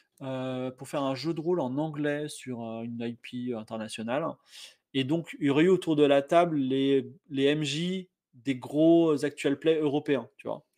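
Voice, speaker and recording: With a normal speaking voice, a man talks at a fairly slow pace and fairly high pitch, his intonation fairly even but his loudness swinging widely. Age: 40s. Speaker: game master and game designer. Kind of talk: casual chat.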